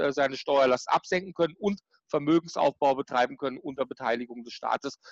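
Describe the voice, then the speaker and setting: The recording of a man at a moderate pace has a dry, close sound with no echo. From Germany, Baden (Karlsruhe). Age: 40s. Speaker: tax and business consultant. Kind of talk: interview.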